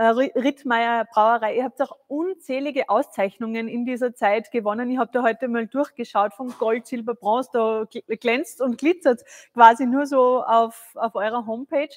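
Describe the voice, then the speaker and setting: The background is quiet as a woman speaks at a moderate pace. Her pitch is high and her intonation fairly even. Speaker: live stream host. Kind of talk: live tasting show. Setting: studio. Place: studio.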